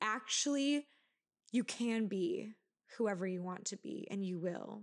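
A woman with a plain, everyday voice speaks at a moderate pace, her pitch fairly high with ordinary pitch variation. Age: 20s. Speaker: podcast host. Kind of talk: solo podcast monologue. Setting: at home on couch. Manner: casual, frequent laughing.

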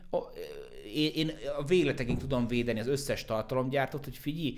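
A man speaks at a fairly quick pace. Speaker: basketball expert and content creator. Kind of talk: casual chat.

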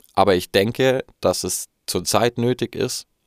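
A man with ordinary pitch variation, in a dry, close recording with no echo, very clean and with a silent background. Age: 20s. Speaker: podcast host. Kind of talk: solo monologue. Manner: halting.

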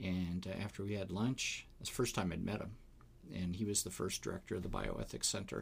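A very deep, low male voice with an American accent, somewhat breathy, fairly even in intonation and fairly quick in pace. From Wisconsin. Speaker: philosophy professor and pastor. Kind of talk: casual interview.

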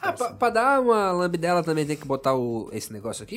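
A man talking very fast, his fairly high pitch swinging very widely. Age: 30s. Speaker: podcast host. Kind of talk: casual chat. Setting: studio.

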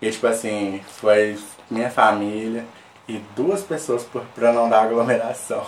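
A man talks with ordinary pitch variation. Audible room echo and noticeable background noise accompany him. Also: medium pitch for a man. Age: 20s. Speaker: podcast guest, company worker. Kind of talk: casual chat. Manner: animated.

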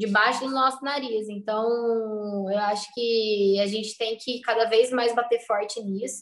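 The speech moves at a fairly slow pace with hardly any pauses. Intonation stays fairly even. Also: woman, fairly high pitch for a woman. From southern Minas Gerais, Brazil. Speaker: food entrepreneur. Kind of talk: interview. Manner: halting.

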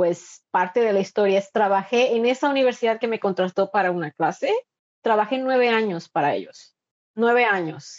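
A woman's voice sits fairly high and moves in pitch in an ordinary way. She keeps to a medium pace. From Mexico, Veracruz coast. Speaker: migrant and university instructor. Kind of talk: interview. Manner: halting with frequent repetitions.

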